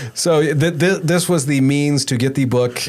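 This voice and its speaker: Pitched fairly high, a man speaks with ordinary pitch variation. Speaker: podcast host and audio producer. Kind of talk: casual interview chat. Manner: stutters, repeats words.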